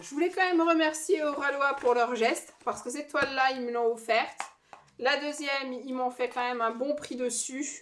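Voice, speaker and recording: High in pitch, a woman's voice moves with ordinary pitch variation. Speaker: diamond painting youtuber. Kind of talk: unboxing review. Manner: hesitant, many fillers.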